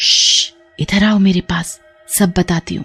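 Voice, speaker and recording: A woman uses a cartoonish character voice at medium pitch. She speaks at a fairly slow pace. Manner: scheming, menacing.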